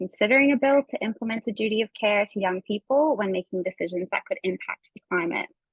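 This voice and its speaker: A woman with a Canadian accent talks at a very fast pace. Her medium-pitched voice is somewhat breathy. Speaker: environmental community campaigner. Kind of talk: online workshop presentation. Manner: frequent fillers (um).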